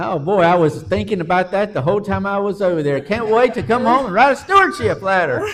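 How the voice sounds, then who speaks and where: Over noticeable background noise, a high-pitched man with a Southern US accent talks at a very fast pace with lively intonation. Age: 60s. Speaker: pastor. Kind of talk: casual interview chat.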